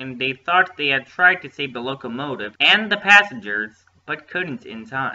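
What we hear is plain reading aloud.

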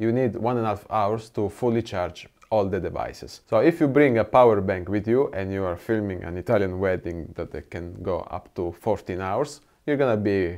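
Against a quiet background, a man speaks at a moderate pace in a fairly low voice with ordinary pitch variation. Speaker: gear reviewer. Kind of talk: product review talk. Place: studio. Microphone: lapel.

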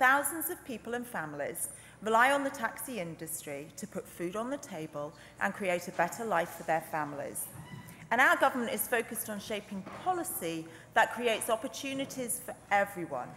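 A woman at a fairly quick pace, with very wide pitch swings, big swings in loudness and light background noise. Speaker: legislator in debate. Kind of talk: parliamentary speech. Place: hall. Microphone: podium.

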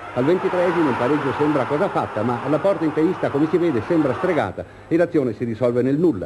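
A man with a fairly high pitch at a very fast pace, against noticeable background noise. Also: ordinary pitch variation. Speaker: sports reporter, match commentator. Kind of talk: 1970s sports newsreel, live match commentary over footage. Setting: stadium link-up, remote. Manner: brisk, earnest, crisp play-by-play.

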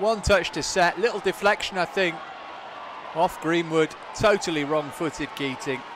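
In a British accent, a man with a high pitch speaks in an excited, animated tone with ordinary pitch variation. Noticeable background noise runs behind him. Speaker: match commentator. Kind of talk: live match commentary. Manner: animated, fast, rising in pitch at goals; excited play-by-play delivery.

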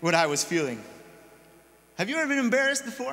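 This man's voice swings very widely in pitch. It climbs and drops over a huge range. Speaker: pastor or preacher. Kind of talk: sermon. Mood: personal, reflective storytelling. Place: church.

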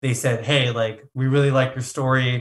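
With an American accent, a man speaks at a medium pitch. His tone is bright and sharp, and his pace is moderate. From California, Santa Monica. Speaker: customer success director. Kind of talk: interview.

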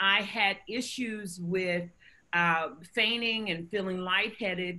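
A woman's bright, sharp voice with an American accent, very slow in pace and ordinary in pitch variation. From US South, North Carolina. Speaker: physician and health foundation director. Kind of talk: interview. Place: home room. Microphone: webcam.

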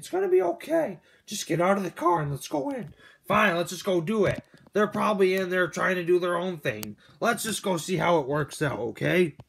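In a put-on character voice, a man talks fairly quickly at a high pitch in a very clean recording with a silent background. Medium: machinima. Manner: reassuring, easygoing.

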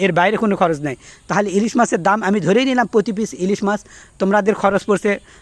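Recorded dry and close with no echo, a man speaks at a high pitch with ordinary pitch variation. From Bangladesh. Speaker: political commentator. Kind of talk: political rant. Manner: animated.

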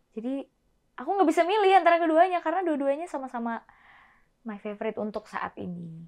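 A woman's high voice with very wide pitch swings, a very fast pace, big swings in loudness, and a quiet background. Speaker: singer; guest. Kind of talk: casual interview chat. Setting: studio. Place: studio.

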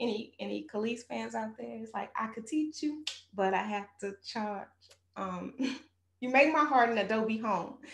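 Someone with an American accent speaks at a moderate pace, and the room echo is audible. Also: woman. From Texas. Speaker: spoken word poet. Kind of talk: spoken word poetry performance. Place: studio.

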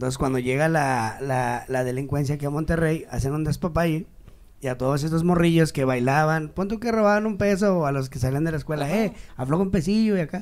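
A man's fairly high voice at a fairly quick pace, with ordinary pitch variation. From Mexico City. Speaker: comedian. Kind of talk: casual chat. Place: studio. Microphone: handheld.

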